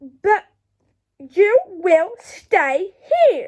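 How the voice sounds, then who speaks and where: A woman in a put-on character voice growls and hisses at an extremely high pitch, her pitch swinging very widely. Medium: read story. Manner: menacing, harsh.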